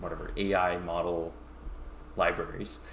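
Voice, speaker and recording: Audible room echo surrounds this man. His pitch is very deep and low. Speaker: tech company founder and tutorial streamer. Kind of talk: live-streamed coding tutorial. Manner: halting with many fillers.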